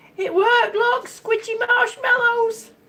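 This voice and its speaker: Against noticeable background noise, speech unfolds at a very slow pace with very wide pitch swings. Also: woman. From England. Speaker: vlogger living with chronic lung disease. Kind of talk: livestream chat with viewers. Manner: chatty, with repeated words.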